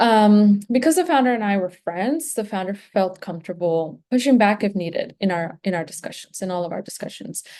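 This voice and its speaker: A woman's dark, mellow voice with a Spanish accent, at a fairly quick pace over a quiet background. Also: medium pitch for a woman, lively intonation, hardly any pauses. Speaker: graduate student. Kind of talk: presentation. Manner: halting, many fillers.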